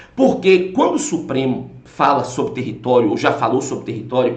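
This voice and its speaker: A man's animated tone at a moderate pace, with audible room echo and noticeable background noise. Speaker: law course teacher. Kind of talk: lecture.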